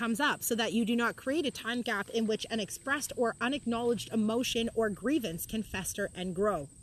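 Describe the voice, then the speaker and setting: A fairly quick woman's voice, fairly high in pitch, with ordinary pitch variation. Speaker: reads and discusses a spiritual book. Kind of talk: reading aloud with personal commentary. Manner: loud.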